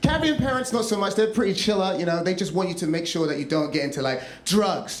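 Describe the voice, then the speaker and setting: Lively intonation amid audible room echo and noticeable background noise. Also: man. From London, England. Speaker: comedian and storyteller. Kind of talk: stand-up storytelling. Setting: stage with audience. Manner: animated, chatty.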